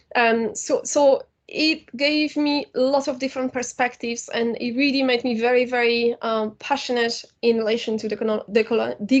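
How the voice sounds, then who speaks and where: A woman speaks with a Polish accent at a high pitch, with fairly even intonation and a moderate pace. She hardly pauses, and the background is quiet. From Poland. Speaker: university lecturer and filmmaker. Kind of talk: lecture. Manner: hesitant with fillers.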